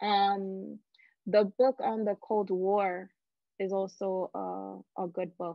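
Very slowly and with fairly even intonation, a woman speaks in a dry sound with no echo against a quiet background. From Dominican Republic heritage. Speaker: community organizer and popular educator; educator. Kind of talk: interview. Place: home room. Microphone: video call.

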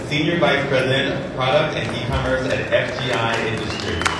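Loud background noise and audible room echo surround a voice moving at a moderate pace. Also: woman. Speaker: event host. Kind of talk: live event hosting. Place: hall.

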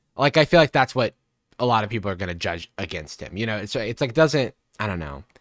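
At a very fast pace, a man talks at a fairly low pitch with very wide pitch swings and big shifts in loudness. The sound is dry with no echo, and the background is quiet. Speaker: live streamer reacting to a TV show. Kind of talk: casual live-stream commentary. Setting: live stream, playing a show. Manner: casual, laughs often. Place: home room.

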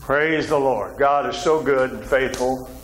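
Faint background noise sits behind a man with a medium pitch. His pace is fairly slow and his pitch varies in an ordinary way.

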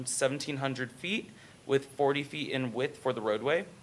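A man speaks over light background noise. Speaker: presenter. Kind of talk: formal staff report presentation. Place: meeting room.

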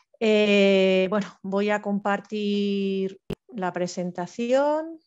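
A woman's voice over a quiet background. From Spain (Madrid). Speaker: forestry engineer, civil servant; presenter. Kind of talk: online presentation talk; informal webinar presentation. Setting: video call. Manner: fast. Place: home room. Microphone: headset.

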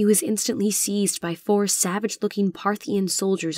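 In a dry, close sound with no echo, a woman with a plain, everyday voice talks at a moderate pace in a medium pitch with fairly even intonation. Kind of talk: dramatic audiobook narration.

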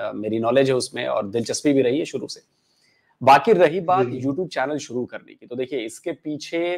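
Over a quiet background, a man speaks at a moderate pace and a fairly high pitch. His pitch variation is ordinary, while his loudness swings widely. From Bihar, Gopalganj district; Bihar. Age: 40s. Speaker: YouTuber and former TV journalist; podcast guest, YouTuber. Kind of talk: interview. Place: home room. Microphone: lapel.

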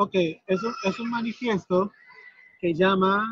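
A man's raised, projected voice, high in pitch with a bright, sharp tone and fairly even intonation, in a dry, close sound with no echo. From Haiti. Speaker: activist, immigrant rights organizer. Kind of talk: interview in Spanish. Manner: halting, many fillers.

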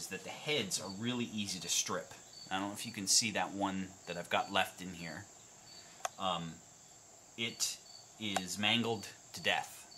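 A man at a fairly low pitch, fairly slow, with long, frequent pauses, ordinary pitch variation and noticeable background noise. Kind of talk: tutorial. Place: workshop.

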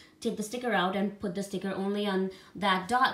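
Her intonation fairly even, a woman speaks amid audible room echo. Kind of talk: casual vlog chat. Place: home room. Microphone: phone near.

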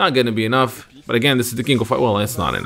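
With noticeable background noise behind him, a man at a medium pitch talks at a very fast pace in an animated, excited tone. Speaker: esports commentator. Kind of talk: live commentary. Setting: video voiceover over match footage. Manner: animated, excited play-by-play; builds tension, rising excitement toward the finish.

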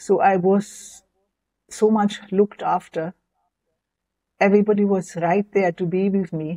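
Against a quiet background, a dark, mellow voice with a German accent moves at a fairly slow pace in a flat monotone, with long, frequent pauses. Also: woman, medium pitch for a woman. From West Germany. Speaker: near-death experience survivor and author; interview guest. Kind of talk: interview testimony. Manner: halting. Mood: calm, reflective. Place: home room. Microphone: lapel.

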